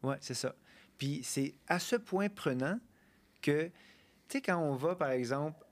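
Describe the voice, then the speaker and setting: Fairly slow speech with ordinary pitch variation on a very clean recording with a silent background. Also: man, long, frequent pauses. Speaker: ethnomusicologist and postdoc researcher. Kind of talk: casual chat.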